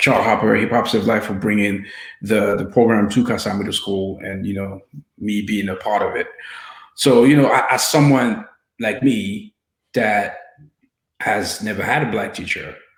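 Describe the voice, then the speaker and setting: A man's fairly low voice at a moderate pace, with fairly even intonation, long, frequent pauses and audible room echo. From France (Paris), Haitian descent. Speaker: filmmaker and interviewer. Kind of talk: panel interview. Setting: panel event.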